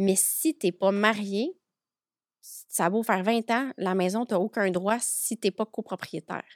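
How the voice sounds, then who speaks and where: In a very clean recording with a silent background and a dry, close sound with no echo, a woman talks in an ordinary speaking voice at medium pitch, with ordinary pitch variation and a fairly slow pace. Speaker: notary. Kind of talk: podcast interview.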